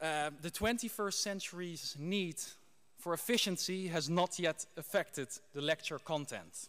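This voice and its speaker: A man with a Dutch accent speaks at a high pitch with ordinary pitch variation. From Netherlands. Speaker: graduate giving valedictory speech. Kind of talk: ceremonial speech. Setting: graduation ceremony hall with audience.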